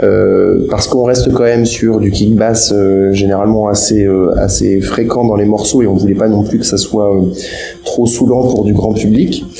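A man's fairly low-pitched voice with fairly even intonation, against noticeable background noise. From France, Loir-et-Cher. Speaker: music producer. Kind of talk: interview. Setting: remote internet call. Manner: halting, many repetitions.

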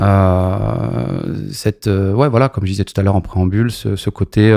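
With an ordinary speaking voice, a man talks fairly slowly at a fairly low pitch, his pitch varying in an ordinary way. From Paris region, France (Maisons-Alfort). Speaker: champagne brand entrepreneur. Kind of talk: interview.

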